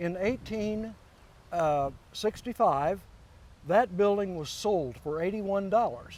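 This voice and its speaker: A man with a Midwestern American accent speaks at a very slow pace in a high voice, with ordinary pitch variation and long, frequent pauses. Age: 70s. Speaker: local historian. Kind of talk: interview.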